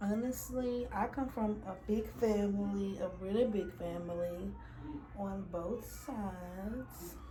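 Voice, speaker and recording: A woman speaks very slowly, with noticeable background noise and audible room echo. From Louisiana. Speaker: beauty vlogger. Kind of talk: casual chat.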